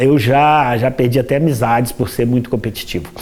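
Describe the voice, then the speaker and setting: A man speaks with a Minas Gerais accent. Noticeable background noise is present. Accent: Brazilian Portuguese, Minas Gerais (mineiro). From Brazil, Minas Gerais (Juiz de Fora). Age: 60s. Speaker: dentist and table football player. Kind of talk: interview. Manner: halting, many repetitions.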